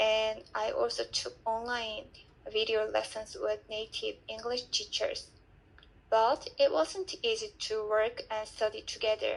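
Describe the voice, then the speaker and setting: A woman with a Korean accent speaks at a fairly slow pace. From South Korea. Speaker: language student. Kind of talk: reading aloud.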